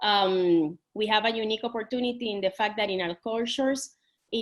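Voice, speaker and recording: Speaking fairly quickly in a Puerto Rican accent, a woman uses a fairly high pitch with ordinary pitch variation. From Puerto Rico. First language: Spanish. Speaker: tourism industry panelist. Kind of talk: panel discussion. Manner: halting, many fillers and restarts.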